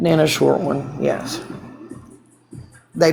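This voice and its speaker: Noticeable background noise surrounds the speech, along with audible room echo. The speaker is a woman. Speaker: TikTok livestreamer. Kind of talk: casual live stream chat. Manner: rambling with fillers; heated.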